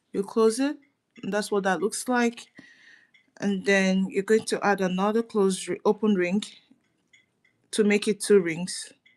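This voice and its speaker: A soft-spoken woman talks at a fairly slow pace with fairly even intonation and long, frequent pauses, on a very clean recording with a silent background. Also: medium pitch for a woman. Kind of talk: tutorial. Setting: livestream from her dining room.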